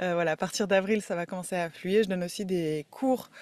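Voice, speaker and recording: On a very clean recording with a silent background, a woman of medium pitch speaks with fairly even intonation. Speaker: holistic therapist and podcaster. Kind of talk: casual podcast monologue. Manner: hesitant, many fillers.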